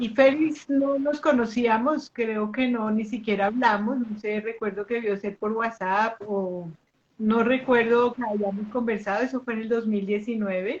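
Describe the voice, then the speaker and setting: At a fairly slow pace, a woman speaks with a fairly high pitch. Her voice is somewhat breathy. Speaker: pendulum teacher and live host. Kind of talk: live online interview introduction. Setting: live video stream. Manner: conversational, with fillers.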